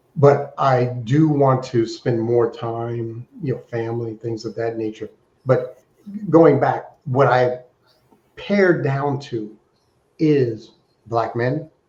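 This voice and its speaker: A man's somewhat breathy, medium-pitched voice at a very slow pace, with long, frequent pauses and ordinary pitch variation. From Alaska. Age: 60s. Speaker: fundraising consultant. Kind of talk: interview.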